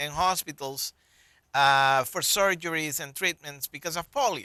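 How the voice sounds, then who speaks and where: A man with a Colombian accent, a bright, sharp tone, ordinary pitch variation, and a dry, close sound with no echo. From Colombia (Bogota). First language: Spanish. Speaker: public health physician. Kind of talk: interview.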